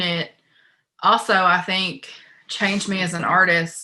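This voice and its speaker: A woman with an Appalachian accent speaks at a fairly slow pace in a medium-pitched voice. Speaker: poet. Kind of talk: panel discussion.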